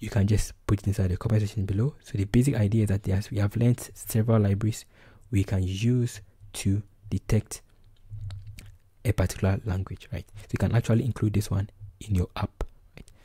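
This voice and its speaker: A man with a Ghanaian accent, fairly low pitch, a dark, mellow and somewhat breathy tone, monotone, flat intonation, a fairly quick pace and long, frequent pauses. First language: Twi. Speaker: programming tutor. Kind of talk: tutorial.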